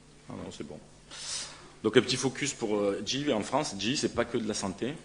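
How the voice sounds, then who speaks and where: This man has a northern French accent and a medium pitch. He keeps a moderate pace with ordinary pitch variation. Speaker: pharmaceutical company representative. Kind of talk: conference presentation. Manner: halting, many hesitations.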